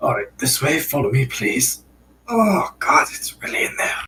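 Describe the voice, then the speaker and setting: Putting on a character voice, a man speaks at a moderate pace in a raspy, fairly high-pitched tone. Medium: actual play.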